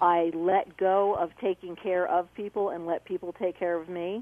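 A woman with an ordinary speaking voice talks at a medium pitch with fairly even intonation. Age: 50s. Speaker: caller. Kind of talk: testimony.

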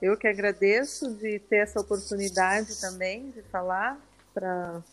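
Noticeable background noise can be heard. A woman talks fairly slowly over it. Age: 50s. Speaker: breast cancer survivor. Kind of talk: testimony.

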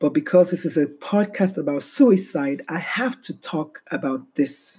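A woman with an American accent, somewhat breathy, at a very slow pace, with a dark, mellow tone and very wide pitch swings. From Texas. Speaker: podcast host and doctor. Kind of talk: monologue.

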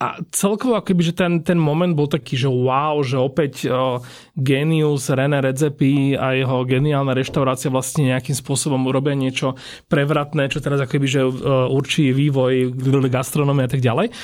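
On a very clean recording with a silent background, a man with a normal speaking voice talks at a moderate pace and fairly high pitch, with fairly even intonation and very even loudness. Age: 30s. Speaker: food podcast host. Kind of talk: casual interview.

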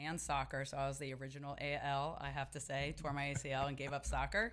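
Talking at a fairly quick pace, a woman with a very deep, low pitch has a bright, sharp tone and vocal fry. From Dallas area, Texas. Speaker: pickleball player. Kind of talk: casual chat.

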